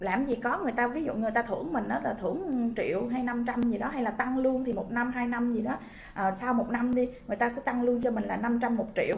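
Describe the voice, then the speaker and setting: Over light background noise, a woman talks fairly quickly at a high pitch, with hardly any pauses and fairly even intonation. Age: 30s. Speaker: direct sales distributor. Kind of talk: motivational talk; interview answer. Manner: halting, many fillers. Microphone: webcam.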